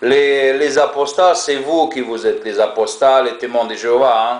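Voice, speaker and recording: A man with a strong non-native accent speaks at a moderate pace and a fairly high pitch. Noticeable background noise runs underneath. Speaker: ex-Jehovah's Witness video blogger. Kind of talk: monologue to camera. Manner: hesitant, many fillers and repetitions.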